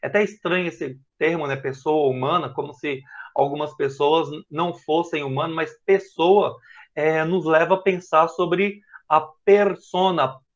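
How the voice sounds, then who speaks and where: With a slight Minas Gerais accent, a man speaks fairly slowly at a high pitch, using ordinary pitch variation. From Brazil, Minas Gerais. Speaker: professor. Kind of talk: lecture. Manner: halting.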